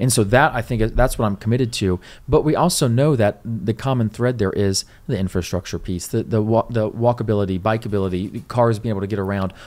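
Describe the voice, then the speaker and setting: With ordinary pitch variation, the man talks fairly quickly. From Riverside, California; California. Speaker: city council candidate; council candidate. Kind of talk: casual interview. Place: studio. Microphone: studio mic.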